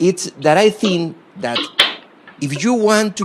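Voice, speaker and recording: A man at a very slow pace, lively intonation, noticeable background noise behind him. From Costa Rica. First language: Spanish. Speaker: former government minister, guest lecturer. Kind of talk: lecture; reading prepared remarks aloud. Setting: university lecture hall with audience. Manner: halting, many fillers.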